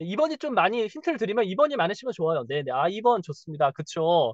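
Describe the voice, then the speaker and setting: Speaking at a fairly quick pace, a man sounds animated, his pitch swinging very widely, in a dry, close sound with no echo. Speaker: marketing coach. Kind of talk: webinar presentation.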